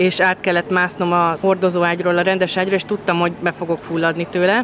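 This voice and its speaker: Very fast speech over noticeable background noise. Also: woman. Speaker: COVID survivor, mother. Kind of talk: interview testimony.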